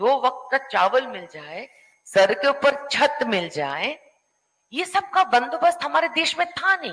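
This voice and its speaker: With a non-native accent, a woman speaks in a high pitch with very wide pitch swings. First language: not Hindi (speaking Hindi). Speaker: panel speaker. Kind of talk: panel discussion. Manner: halting.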